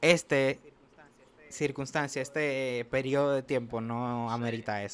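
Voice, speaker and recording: In an ordinary speaking voice, a man talks at a fairly slow pace, at a medium pitch with fairly even intonation. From Dominican Republic, Santo Domingo. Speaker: podcast host, medical student. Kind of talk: casual chat.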